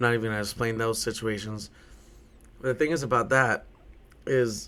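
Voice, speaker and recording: Loud and bright with a sharp tone, the voice moves at a moderate pace with fairly even intonation. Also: man. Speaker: podcast host and bartender. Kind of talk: casual solo podcast monologue. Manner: repetitive, stammering on words.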